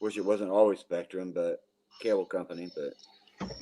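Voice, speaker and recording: Speaking at a very slow pace, a man has a fairly low pitch and a dark, mellow tone. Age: 60s. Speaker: caller. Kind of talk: casual chat.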